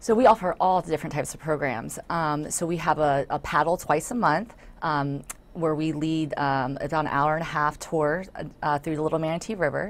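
At a fairly quick pace, a woman speaks with a very deep, low pitch. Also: ordinary pitch variation. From Florida, South Hillsborough County; Florida. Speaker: nature center volunteer and board member; guest. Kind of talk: interview. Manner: hesitant with many fillers. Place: studio. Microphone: lapel.

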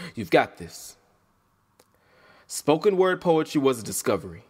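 A man talks at a moderate pace with a fairly high pitch. His pitch swings very widely. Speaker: spoken word poet. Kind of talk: performance poetry reading.

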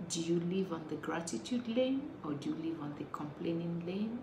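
A woman with a fairly low voice talks over noticeable background noise. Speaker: motivational speaker. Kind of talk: casual vlog talk. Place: home room. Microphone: phone near.

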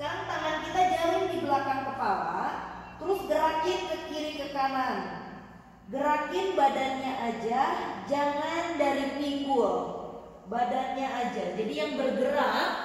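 Strong room echo surrounds a woman's high voice. She talks at a fairly slow pace. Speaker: yoga instructor. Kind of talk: exercise instruction with counting. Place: home room. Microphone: camera far.

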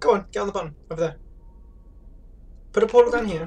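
Very fast and dark, mellow in tone, a man's speech shows ordinary pitch variation. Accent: British. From Britain. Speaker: streamer playing a co-op puzzle game. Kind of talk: casual gaming commentary. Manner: bossy, directive, swears a lot. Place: home room. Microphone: headset.

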